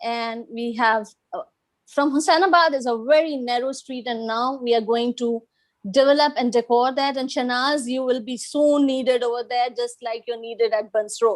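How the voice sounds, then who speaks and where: This woman has a high pitch and fairly even intonation, talking at a moderate pace. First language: Gujarati. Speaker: restaurant owner and English teacher trainer. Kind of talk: self-introduction in online meeting.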